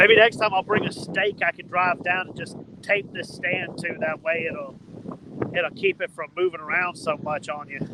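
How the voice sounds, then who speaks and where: A high-pitched man with a Southern US accent, at a moderate pace with ordinary pitch variation, over noticeable background noise. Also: big swings in loudness. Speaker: fishing vlogger. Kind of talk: casual outdoor vlog talk to camera. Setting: outdoors on riverbank. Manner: loud, yelling over wind.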